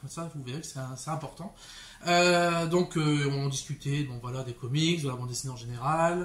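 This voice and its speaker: A man's somewhat breathy, fairly high-pitched voice at a moderate pace, with fairly even intonation. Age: 30s. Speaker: bookseller. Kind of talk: casual vlog monologue. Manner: hesitant, many fillers.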